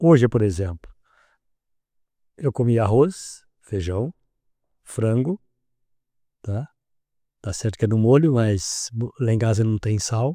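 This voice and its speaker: A man with a medium pitch and a dark, mellow tone speaks at a very slow pace, leaving long, frequent pauses. The recording is very clean with a silent background, and the sound is dry and close with no echo. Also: lively intonation. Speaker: podcast host. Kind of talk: podcast host questions.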